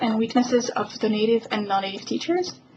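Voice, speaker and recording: A woman talks with a fairly high pitch and ordinary pitch variation. Noticeable background noise runs under her voice. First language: French. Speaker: professor. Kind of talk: scripted narration. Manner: formal.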